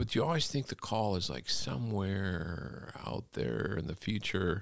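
With an American accent, a man talks fairly slowly in a fairly low voice, using vocal fry and lively intonation. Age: 60s. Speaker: college professor and pastor. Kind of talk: casual interview. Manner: relaxed, hesitant with fillers.

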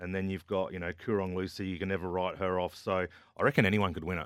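Very fast and very deep in pitch, a man speaks with an Australian accent. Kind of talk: casual chat. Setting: studio.

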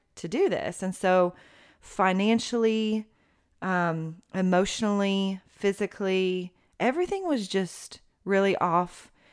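Speaking at a very slow pace in an East Tennessee accent, a woman with a medium pitch keeps her intonation fairly even in a very clean recording with a silent background. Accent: East Tennessee Southern American. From US South, Knoxville, Tennessee. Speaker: mother sharing her marriage story. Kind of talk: interview testimony.

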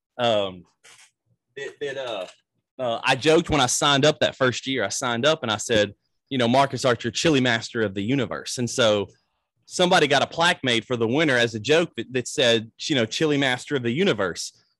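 Speaking at a fairly quick pace in a Mississippi accent, a man with a medium pitch sounds dry and close with no echo against a quiet background. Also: ordinary pitch variation. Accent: Southern US (Mississippi). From US South, Natchez, Mississippi. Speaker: pastor. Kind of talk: casual interview.

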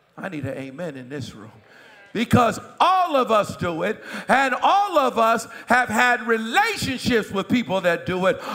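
A man speaks in a raised, projected voice at a fairly slow pace, his pitch swinging very widely. Noticeable background noise runs underneath. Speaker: pastor. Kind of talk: sermon. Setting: church. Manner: animated.

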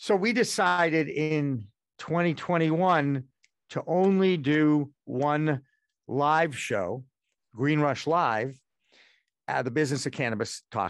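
Against a quiet background, a man with a fairly high pitch speaks very slowly with long, frequent pauses, lively intonation and big swings in loudness. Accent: American. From Massachusetts, Boston area. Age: 60s. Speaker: former sportscaster, media founder. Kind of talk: interview.

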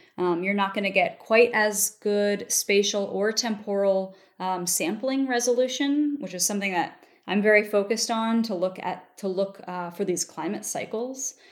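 In a very clean recording with a silent background, a woman uses a normal speaking voice at a medium pitch with ordinary pitch variation. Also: moderate pace. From US Mid-Atlantic (Baltimore, Maryland). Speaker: paleoclimatologist. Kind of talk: interview.

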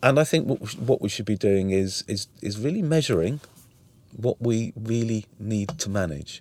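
Speaking at a moderate pace, a man with a Welsh accent has a fairly low pitch. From Wales. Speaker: museum chief executive, former health executive. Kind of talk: interview conversation. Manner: hesitant, filler words.

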